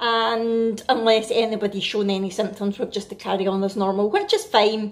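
A woman talks in a Scottish accent at a moderate pace. Her pitch is fairly high. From Scotland. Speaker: family vlogger. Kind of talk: casual vlog talk to camera. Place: kitchen.

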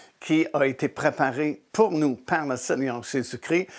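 The background is quiet as a man talks at a very slow pace. His pitch varies in an ordinary way. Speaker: religious teacher, show host. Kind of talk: sermon-style teaching. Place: studio. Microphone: lapel.

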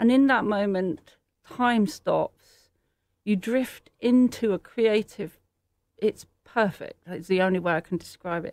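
On a very clean recording with a silent background and a dry, close sound with no echo, a woman with a British accent speaks at a fairly slow pace in a medium pitch with ordinary pitch variation. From England. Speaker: artist. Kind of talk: interview.

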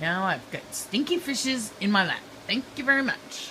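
With a bright, sharp tone, a woman talks at a fairly slow pace over faint background noise.

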